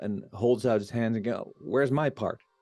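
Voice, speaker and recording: Over music in the background, a man with a Dutch accent speaks at a moderate pace and medium pitch, using ordinary pitch variation. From Netherlands. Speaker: spiritual vlogger. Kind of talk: casual monologue. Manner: halting.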